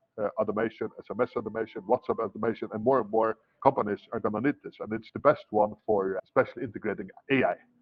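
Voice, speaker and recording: A man speaks at a very fast pace with a non-native accent and medium pitch. His tone is enthusiastic. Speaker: entrepreneur training an intern. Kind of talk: one-on-one training session. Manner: repetitive, stammering restarts.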